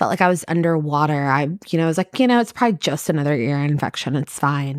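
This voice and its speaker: A woman with a Kentucky accent and ordinary pitch variation, in a dry, close sound with no echo. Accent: Kentucky Southern US. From US, Kentucky. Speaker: preschool teacher. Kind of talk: casual chat.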